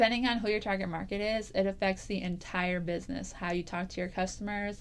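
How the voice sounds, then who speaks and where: The pace is very fast and the intonation fairly even. Noticeable background noise can be heard. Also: woman, medium pitch for a woman. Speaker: business marketing vlogger. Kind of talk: tutorial. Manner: casual.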